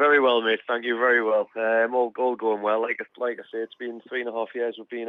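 Speaking fairly quickly with a Geordie accent, a man holds a medium pitch and a monotone, flat intonation. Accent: Geordie, kept. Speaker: footballer. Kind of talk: radio interview.

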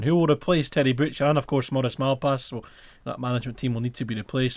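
A man at medium pitch with a Scottish Highlands accent, a very fast pace and ordinary pitch variation on a very clean recording with a silent background. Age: 20s. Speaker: football fan radio host. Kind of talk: casual chat. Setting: studio.

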